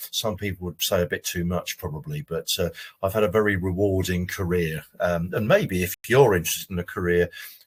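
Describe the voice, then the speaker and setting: Fairly quickly, a man speaks in a very deep, low, somewhat breathy voice with ordinary pitch variation. The sound is dry and close, with no echo. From Jersey, Channel Islands. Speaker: careers adviser. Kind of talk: webinar presentation. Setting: online webinar from home.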